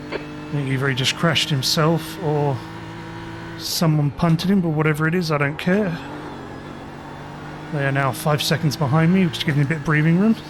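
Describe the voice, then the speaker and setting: Man's fairly high voice, fairly quick yet broken by long, frequent pauses, with fairly even intonation and noticeable background noise. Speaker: sim racing streamer. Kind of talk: live gameplay commentary.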